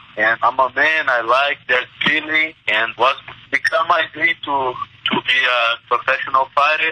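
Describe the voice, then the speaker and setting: Through noticeable background noise, a man with a Portuguese accent speaks at a moderate pace and fairly high pitch, with fairly even intonation and a dry, close sound with no echo. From Brazil, Minas Gerais. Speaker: mixed martial arts fighter. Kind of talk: interview.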